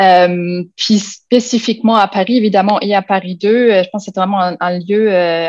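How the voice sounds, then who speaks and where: Against a quiet background, a woman speaks at a medium pitch and a fairly slow pace with fairly even intonation. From Germany. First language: German (speaking French). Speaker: university lecturer. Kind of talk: panel presentation. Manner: halting, many fillers.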